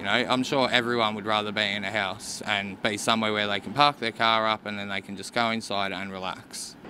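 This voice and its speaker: A man with an Australian accent talks at a fairly quick pace with hardly any pauses. His voice is fairly low in pitch, with fairly even intonation. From Mornington Peninsula, Victoria, Australia. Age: 30s. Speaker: homeless man. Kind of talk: interview.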